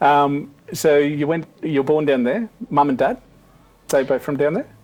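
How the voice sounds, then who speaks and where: A man with an Australian accent, fairly high in pitch, at a fairly slow pace with ordinary pitch variation. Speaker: interviewer. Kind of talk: interview.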